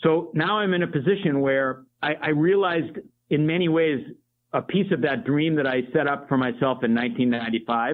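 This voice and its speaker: A man with a plain, everyday voice speaks at a fairly quick pace. His pitch is fairly high, with ordinary pitch variation and very even loudness. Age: 60s. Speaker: coffee company project manager, former teacher. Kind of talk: interview conversation.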